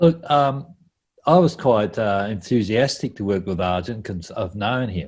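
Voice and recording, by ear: The pace is fairly slow, with ordinary pitch variation. The tone is slightly mellow. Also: man, fairly low pitch for a man.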